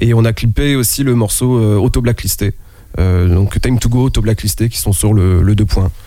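A man talks in a dark, mellow tone at a medium pitch, with ordinary pitch variation and very even loudness. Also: moderate pace. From France, Nantes. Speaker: rapper. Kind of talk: casual chat. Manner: halting.

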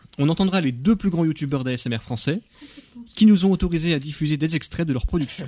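The recording is very clean, with a silent background. The voice is a normal speaking voice with lively intonation. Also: man. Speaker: radio host. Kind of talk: radio chat.

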